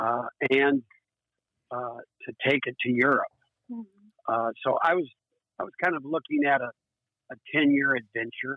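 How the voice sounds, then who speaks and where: Using a US Midwestern accent, a man speaks at a moderate pace and a fairly high pitch with ordinary pitch variation and long, frequent pauses. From Iowa, US Midwest. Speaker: recreational boater. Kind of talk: casual interview. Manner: halting, many fillers.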